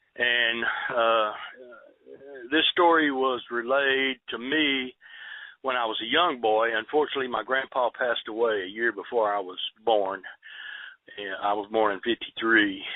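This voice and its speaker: A man with a Texan accent, at a moderate pace with long, frequent pauses. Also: medium pitch for a man, ordinary pitch variation. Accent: Texan Southern US. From Southeast Texas. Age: 60s. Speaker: eyewitness storyteller. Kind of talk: interview. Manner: halting, many fillers.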